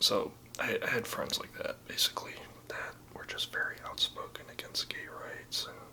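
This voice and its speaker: A man whispers, his loudness swinging widely. Noticeable background noise is present. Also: moderate pace. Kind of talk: ASMR personal story. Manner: whispered.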